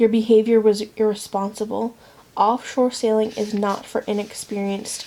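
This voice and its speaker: A soft-spoken woman with a fairly high pitch, a dark, mellow tone, monotone, flat intonation and a moderate pace. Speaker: ASMR creator. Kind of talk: romance novel reading for sleep.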